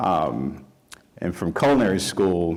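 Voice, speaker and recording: A man speaks in a very deep, low pitch. He has a Southern US accent. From rural Mississippi. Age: 30s. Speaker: chef. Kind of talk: panel talk. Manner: halting, many fillers.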